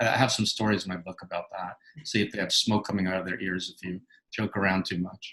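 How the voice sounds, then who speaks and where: A man's very deep, low voice in a New York accent, very fast and monotone, with a bright, sharp tone. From New York City. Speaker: author and clinical psychologist. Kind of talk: interview.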